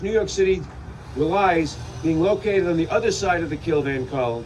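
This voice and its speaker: There is noticeable background noise as a man speaks. His pace is moderate and his pitch varies in an ordinary way. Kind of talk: political speech at a rally.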